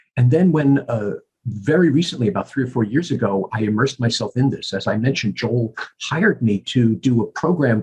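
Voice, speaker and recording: A man with an American accent speaks at a moderate pace and medium pitch, with ordinary pitch variation. His voice is somewhat breathy, and the sound is dry and close with no echo. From US Northeast, New York (Bronx). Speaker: professor of communications and convention host. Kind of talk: podcast interview. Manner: halting, many repeated words.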